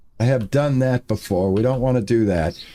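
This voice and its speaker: The recording is very clean and the background silent. A man's words come at a fairly slow pace. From New England. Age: 60s. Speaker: game streamer. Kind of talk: live gameplay stream chat. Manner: casual, rambling with fillers.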